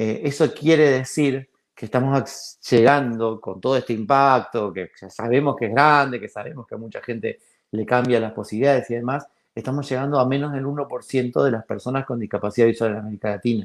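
A man's ordinary speaking voice at medium pitch and a fairly quick pace, with fairly even intonation and big swings in loudness, on a very clean recording with a silent background. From Argentina. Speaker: founder of a library for blind people. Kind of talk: interview.

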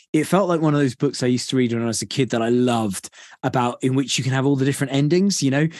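A man speaks at a very fast pace in a British accent. His loudness stays very even. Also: medium pitch for a man, ordinary pitch variation, quiet background. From Britain. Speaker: podcast host. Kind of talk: casual chat.

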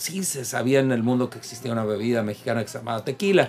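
Noticeable background noise sits behind a man speaking at a very fast pace. His pitch is medium and his intonation lively. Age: 50s. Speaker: drinks expert co-host. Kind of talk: casual chat.

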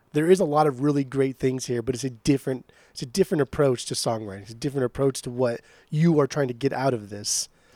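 Speaking at a very fast pace, a man at medium pitch has a dark, mellow tone and ordinary pitch variation, with a dry, close sound and no echo. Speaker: podcast co-host. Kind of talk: casual chat. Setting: remote call.

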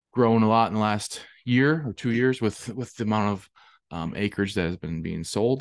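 Against a quiet background, a man with a fairly low pitch speaks at a moderate pace with an Upper Midwest accent. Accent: Upper Midwest American. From southwest Wisconsin. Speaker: regenerative farmer and realtor, co-host. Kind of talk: casual conversational podcast.

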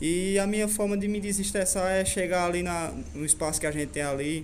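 At a moderate pace, a man speaks with ordinary pitch variation amid audible room echo. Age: young. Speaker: motorcycle stunt rider. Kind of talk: radio interview.

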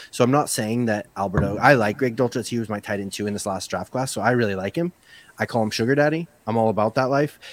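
The speaker has a Northern Irish accent and ordinary pitch variation. The pace is very fast. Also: man, medium pitch for a man. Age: 40s. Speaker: fantasy football podcaster and writer. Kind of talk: casual chat.

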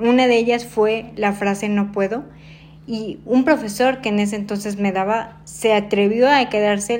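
A woman's plain, everyday voice at medium pitch, fairly slow, with fairly even intonation. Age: 30s. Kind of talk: interview. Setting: at her home.

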